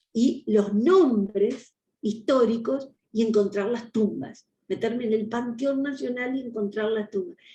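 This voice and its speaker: This woman speaks in a Uruguayan accent with a fairly high pitch and a dark, mellow tone. Her pace is fairly slow, with ordinary pitch variation. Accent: Rioplatense Spanish (Uruguayan). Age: 60s. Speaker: historian and education official. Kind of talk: interview.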